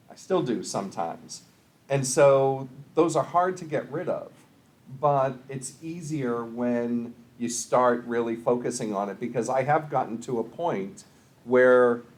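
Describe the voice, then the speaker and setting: Audible room echo surrounds a man with an American accent speaking at a fairly slow pace in a medium-pitched voice. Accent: Boston accent in youth, largely trained away. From US Northeast, Boston area. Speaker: college instructor and public speaker. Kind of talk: lecture. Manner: measured pace, few filler words.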